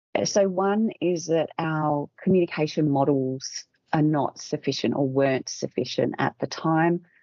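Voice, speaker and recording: This woman speaks with an Australian accent at a fairly slow pace, her pitch very deep and low, her loudness very even and her pauses hardly there. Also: ordinary pitch variation. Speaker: communications expert and author. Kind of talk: interview.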